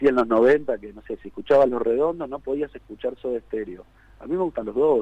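A man with a Rioplatense accent, a dark, mellow tone and a moderate pace, in a dry, close sound with no echo. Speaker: rock singer. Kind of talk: radio interview.

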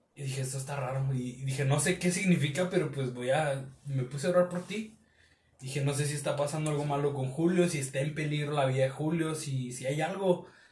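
Against noticeable background noise, a man talks at a fairly quick pace and fairly high pitch with fairly even intonation. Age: 30s. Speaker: church youth leader. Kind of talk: casual chat.

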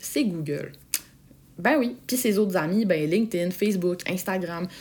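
A woman in a Quebec accent talks fairly slowly at a medium pitch with lively intonation. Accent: Québécois French. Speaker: podcast host, sales coach. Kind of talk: solo podcast tutorial. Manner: casual, animated.

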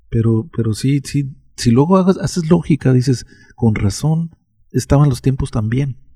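Somewhat breathy with a dark, mellow tone, a man speaks at a medium pitch. His pace is moderate, with ordinary pitch variation. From Mexico. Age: 60s. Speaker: interviewee recounting childhood. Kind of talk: casual chat.

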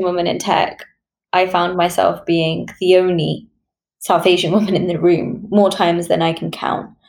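This woman's voice carries a British accent. Its pitch is medium for her. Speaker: podcast host. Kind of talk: interview.

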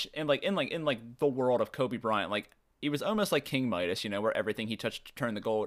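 In an ordinary speaking voice at a medium pitch, a man speaks with lively intonation on a very clean recording with a silent background. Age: 20s. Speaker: basketball podcast co-host. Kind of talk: casual chat.

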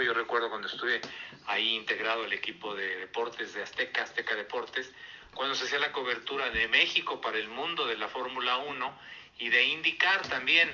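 A man talks at a fairly quick pace with a medium pitch. He has a plain, everyday voice. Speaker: motorsport commentator. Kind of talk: casual chat.

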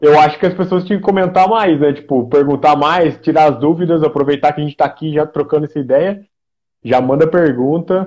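With an interior São Paulo accent, the speaker talks at a fairly quick pace. Pitch variation is ordinary. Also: man, fairly high pitch for a man. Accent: interior São Paulo caipira R. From interior of São Paulo state, Brazil (Aguaí). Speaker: podcast host. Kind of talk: casual interview chat. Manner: halting, many fillers.

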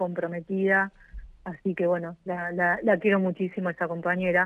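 Speaking at a fairly quick pace, a woman uses a fairly low pitch and monotone, flat intonation. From Argentina, Moreno (Buenos Aires province). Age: 40s. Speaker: mayor, politician. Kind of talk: radio interview.

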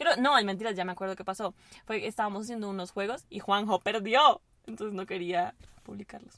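A woman talks at a very fast pace with big swings in loudness. Her pitch is medium, with ordinary variation. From Venezuela. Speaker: university student. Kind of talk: casual chat. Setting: in a car.

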